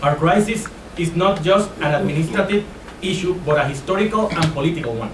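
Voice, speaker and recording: In a Spanish accent, a man talks fairly quickly at a high pitch. His pitch varies in an ordinary way, and there is noticeable background noise. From Puerto Rico. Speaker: high school physics teacher and union activist. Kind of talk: speech read from a prepared text. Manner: halting, with frequent hesitations.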